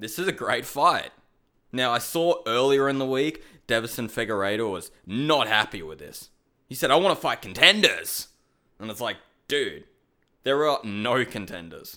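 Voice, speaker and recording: The speaker has an Australian accent and a bright, sharp tone, moving at a moderate pace with lively intonation and big swings in loudness. The recording is very clean, with a silent background. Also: man, medium pitch for a man. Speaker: MMA podcast host. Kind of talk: casual solo commentary.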